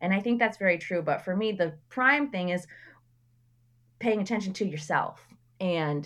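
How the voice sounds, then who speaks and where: An unremarkable speaking voice goes at a moderate pace with ordinary pitch variation. The background is quiet. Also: woman. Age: 30s. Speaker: artist and educator. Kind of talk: casual chat.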